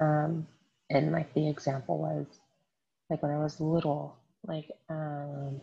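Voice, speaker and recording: The speaker is whispering, and the voice sounds somewhat breathy. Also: woman. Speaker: podcast host, astrology and tarot. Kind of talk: casual solo talk with card reading. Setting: at home at night.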